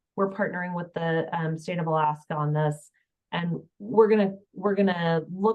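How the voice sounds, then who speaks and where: Speaking at a moderate pace in an ordinary speaking voice, a woman keeps a fairly low pitch and fairly even intonation. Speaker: health information exchange presenter. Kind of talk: webinar presentation.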